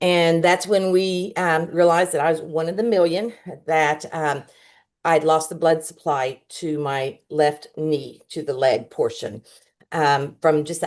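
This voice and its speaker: A woman speaks at a fairly slow pace. Her voice sits fairly low. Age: 60s. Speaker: customer giving a testimony. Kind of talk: testimony. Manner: halting, many fillers.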